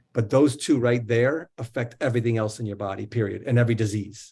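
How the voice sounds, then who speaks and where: A man with an American accent, a medium pitch, a dark, mellow tone, somewhat breathy delivery, flat, monotone intonation and a fairly quick pace. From New Jersey. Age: 50s. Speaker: wellness coach and author. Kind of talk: interview.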